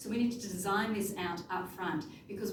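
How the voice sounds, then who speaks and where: The speech moves at a fairly quick pace with ordinary pitch variation. Room echo is audible, and background noise is noticeable. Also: woman. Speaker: conference presenter, researcher. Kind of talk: conference presentation. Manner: fast.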